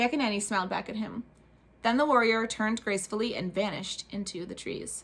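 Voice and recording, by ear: A text read aloud in a natural voice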